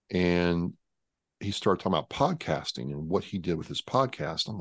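Against a quiet background, a man speaks with an American accent. His very deep, low voice carries vocal fry. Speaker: Marine veteran and podcast host. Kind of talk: casual interview chat.

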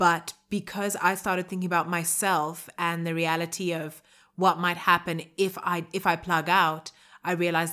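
Speaking at a moderate pace in a fairly low pitch, a woman delivers bright, sharp words in a monotone, flat intonation, captured in a very clean recording with a silent background. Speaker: podcast co-host. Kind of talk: casual chat.

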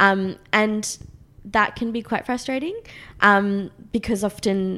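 Speaking with an Australian accent, a woman uses a medium pitch. Her intonation is fairly even. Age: 20s. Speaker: magazine founder and writer. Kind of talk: casual interview.

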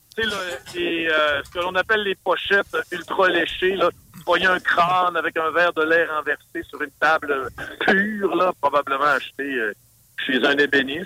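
Speaking in a Saguenay accent, a man talks fairly slowly in a high voice with ordinary pitch variation. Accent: Saguenay Québécois French. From Saguenay, Quebec. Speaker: metal musician and promoter. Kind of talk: casual interview.

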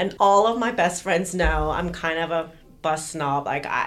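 An American accent marks this woman's fairly low voice with vocal fry. She talks at a moderate pace. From Los Angeles, US. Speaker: podcast co-host. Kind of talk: casual chat.

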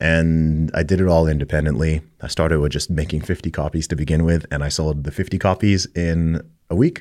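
Very deep and low in pitch, a man talks with an American accent. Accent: American, never British. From Saudi Arabia, American international school. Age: 30s. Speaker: rapper. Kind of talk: interview.

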